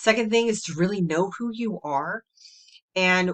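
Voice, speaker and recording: An ordinary speaking voice comes from a woman with fairly low pitch, talking at a moderate pace with ordinary pitch variation. The sound is dry and close, with no echo. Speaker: human design coach. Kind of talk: solo video talk. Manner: casual.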